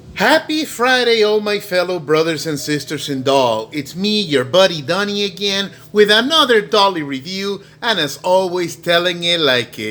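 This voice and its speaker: A man with a high-pitched, bright, sharp voice speaks at a fairly slow pace with lively intonation. He hardly pauses at all. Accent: Spanish. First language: Spanish. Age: 40s. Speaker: doll reviewer. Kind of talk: casual video review. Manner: halting, many fillers.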